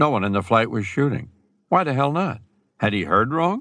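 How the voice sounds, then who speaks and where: The tone is dramatic. The background is quiet. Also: man. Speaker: audiobook narrator. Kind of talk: audiobook narration of a combat scene. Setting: studio recording. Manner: tense, urgent, dramatic pacing building suspense.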